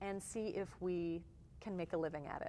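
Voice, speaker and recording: A woman speaks with a slight Canadian accent. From Canada, Toronto. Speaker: touring musician. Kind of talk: interview.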